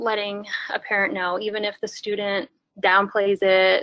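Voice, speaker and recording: A woman with a plain, everyday voice, a fairly high pitch and a moderate pace, against a quiet background. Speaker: webinar presenter. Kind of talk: lecture. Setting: webinar.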